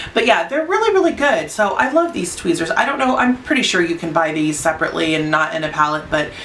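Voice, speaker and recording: A woman's fairly high voice with very wide pitch swings at a fairly quick pace, amid audible room echo and noticeable background noise. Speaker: beauty vlogger. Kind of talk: casual product review. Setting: home studio under lights. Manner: fast; halting.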